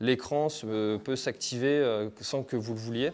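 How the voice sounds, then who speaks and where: This man's intonation stays fairly even. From France, Brittany (Finistère); Brittany, France. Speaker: trail running YouTuber. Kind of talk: gear review tutorial. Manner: casual, hesitant with fillers. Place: home room. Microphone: phone near.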